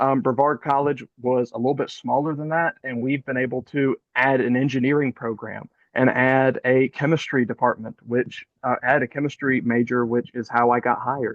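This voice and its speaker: A man at a medium pitch with a slight Southern US accent, fairly even intonation and a moderate pace. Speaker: college chemistry professor. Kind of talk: panel discussion.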